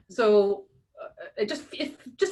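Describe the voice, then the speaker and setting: Her voice somewhat breathy, a woman talks at a fairly high pitch. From US, immigrant childhood. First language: Russian. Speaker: book club member. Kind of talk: casual chat. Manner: halting.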